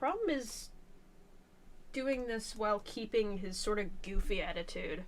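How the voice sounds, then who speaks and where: A quiet woman with a fairly high voice speaks at a fairly slow pace, her pitch varying in an ordinary way, with long, frequent pauses and audible room echo. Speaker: artist streaming a drawing session. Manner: halting, self-correcting.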